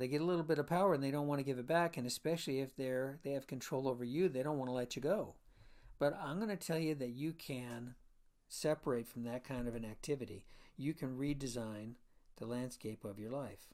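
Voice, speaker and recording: A man talks in a normal speaking voice at a medium pitch and a fairly quick pace, with ordinary pitch variation. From Florida. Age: 60s. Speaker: chiropractor and podcast host. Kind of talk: solo podcast monologue.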